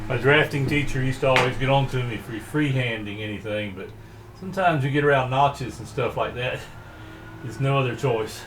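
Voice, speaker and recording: Over noticeable background noise and audible room echo, a man talks at a fairly quick pace in a medium pitch, relaxed in tone with ordinary pitch variation. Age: 60s. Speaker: woodworking hobbyist and lawn care business owner. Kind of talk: tutorial. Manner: casual, relaxed.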